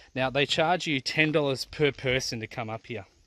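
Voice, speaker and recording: A man's bright, sharp voice at a moderate pace, with ordinary pitch variation, a dry sound with no echo and light background noise. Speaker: family travel vlogger. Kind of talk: casual vlog chat. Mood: disappointed, somewhat angry. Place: open country. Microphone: phone near.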